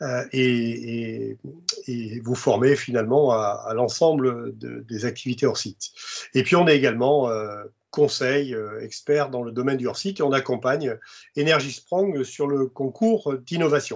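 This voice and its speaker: The speech is fairly slow with ordinary pitch variation. The background is quiet. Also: man, medium pitch for a man. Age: 60s. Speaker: construction industry expert and presenter. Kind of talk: webinar presentation. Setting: video conference. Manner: halting, many hesitations.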